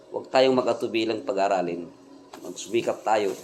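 The pitch varies in an ordinary way and the pace stays moderate, with noticeable background noise present. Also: man. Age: middle-aged. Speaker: vlogger and tricycle driver. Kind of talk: casual vlog monologue. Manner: halting, many fillers.

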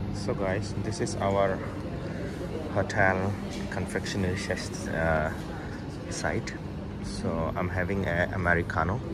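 A man at a fairly slow pace with long, frequent pauses, against loud background noise. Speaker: travel vlogger. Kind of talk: casual vlog chat. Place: cafe. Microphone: phone near.

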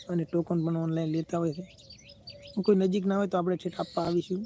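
The intonation is monotone and flat. Noticeable background noise can be heard. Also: man. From Gujarat, Banaskantha district (Kankrej taluka). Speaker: YouTuber selling lottery tokens. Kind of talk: live stream chat and sales pitch. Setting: YouTube live stream.

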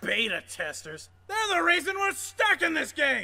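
A man speaks at a moderate pace. His pitch is extremely high. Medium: fan dub. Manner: loud, belligerent, whiny.

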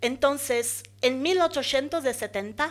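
A woman speaks with a Portuguese accent. Her pitch is high, with ordinary variation. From Brazil, São Luís (Maranhão, northeast); Maranhão, Brazil. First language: Portuguese (speaking Spanish). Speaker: architect and urban planner, master's student; presenter. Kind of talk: conference talk. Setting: conference hall with audience. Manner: halting, many fillers. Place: hall. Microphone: podium.

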